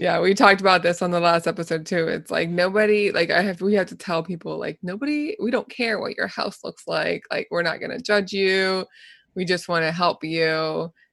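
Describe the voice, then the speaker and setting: An ordinary speaking voice moves at a moderate pace with ordinary pitch variation. The background is quiet. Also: woman, medium pitch for a woman. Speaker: podcast host and occupational therapist. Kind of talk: casual interview chat.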